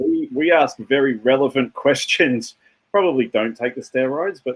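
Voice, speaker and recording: A man talks with an Australian accent. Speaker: tech company founder. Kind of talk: interview.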